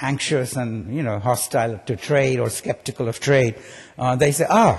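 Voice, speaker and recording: Talking fairly fast, a man's voice comes across somewhat breathy. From India. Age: 70s. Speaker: economics professor. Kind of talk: keynote speech. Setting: conference stage with audience. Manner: conversational, frequent fillers and repetitions.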